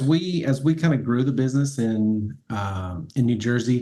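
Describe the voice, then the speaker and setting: Speaking with a Southern US accent, a man keeps his voice at a medium pitch. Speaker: cleaning business owner. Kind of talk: interview. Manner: halting.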